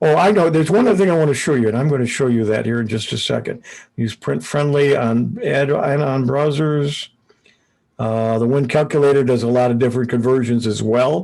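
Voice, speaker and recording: Medium in pitch with ordinary variation, a man talks at a fairly quick pace and very even loudness. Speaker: computer club presenter. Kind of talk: online meeting presentation. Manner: hesitant, many fillers.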